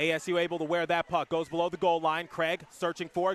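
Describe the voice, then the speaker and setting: Over noticeable background noise, a man with a high pitch talks at a fairly quick pace in a monotone, flat intonation. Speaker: sports play-by-play announcer. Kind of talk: hockey play-by-play commentary. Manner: fast.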